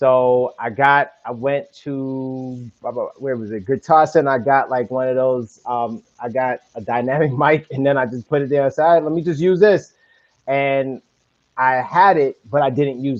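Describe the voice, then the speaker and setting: In a New York accent, a man talks at a moderate pace. His pitch is medium, with ordinary pitch variation. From Brooklyn, New York. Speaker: podcaster. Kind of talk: casual interview. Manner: animated.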